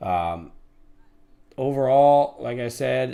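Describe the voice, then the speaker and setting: A man in a New York accent talks at a medium pitch on a very clean recording with a silent background. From New York City. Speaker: day trader, live streamer, former police officer. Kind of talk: live trading stream chat.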